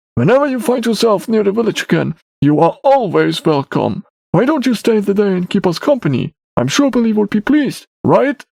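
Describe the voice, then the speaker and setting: A man's put-on character voice, high-pitched with very wide pitch swings, at a fairly quick pace, dry and close with no echo. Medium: read story. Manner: warm, easygoing.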